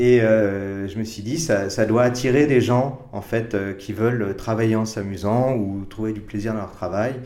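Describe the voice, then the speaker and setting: A man's fairly low voice at a fairly slow pace, with hardly any pauses, fairly even intonation and audible room echo. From France, Paris. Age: 50s. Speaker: advertising creative director. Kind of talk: interview. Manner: hesitant, many repetitions and fillers.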